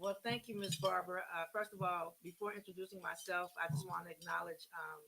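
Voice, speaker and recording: At a fairly quick pace with hardly any pauses, a woman talks in a fairly low pitch with fairly even intonation. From Oakland, California. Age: 60s. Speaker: community cancer navigator. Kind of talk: radio interview.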